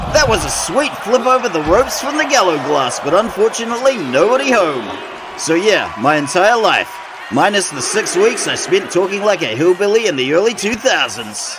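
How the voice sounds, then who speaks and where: A man with a New Zealand accent, high-pitched with very wide pitch swings, at a moderate pace over noticeable background noise. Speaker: wrestling commentator. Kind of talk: live commentary. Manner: animated.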